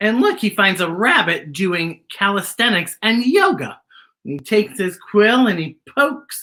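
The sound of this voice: An unforced reading voice carries lively intonation over a quiet background.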